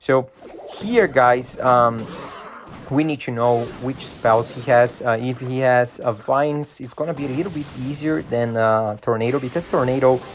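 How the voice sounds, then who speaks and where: A man of medium pitch with a Brazilian Portuguese accent, at a moderate pace and with fairly even intonation, over noticeable background noise. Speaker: gaming YouTuber. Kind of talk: gameplay commentary. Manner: hesitant, many fillers.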